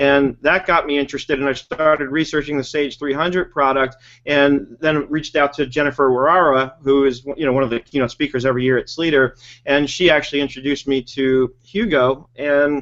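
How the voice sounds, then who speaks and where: In a normal speaking voice, a man with an American accent talks at a fairly quick pace, his pitch fairly high and his intonation fairly even. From New York. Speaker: webinar host, bookkeeping trainer. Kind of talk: casual chat.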